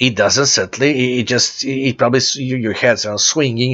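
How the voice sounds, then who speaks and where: A man with a Serbian accent, medium pitch and moderate pace. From Serbia (former Yugoslavia). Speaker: church founder and preacher. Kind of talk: religious announcement talk. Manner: halting with repetitions.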